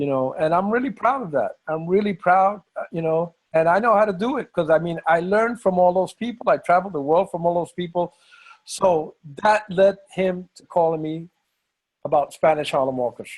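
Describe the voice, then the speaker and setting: With an American accent, a man talks at a moderate pace in a high voice, his pitch varying normally while his loudness swings widely. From New York. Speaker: bandleader and musician. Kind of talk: interview.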